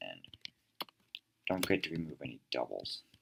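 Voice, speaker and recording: A man speaks at a moderate pace. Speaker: tutorial creator. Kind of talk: tutorial. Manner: hesitant, many fillers.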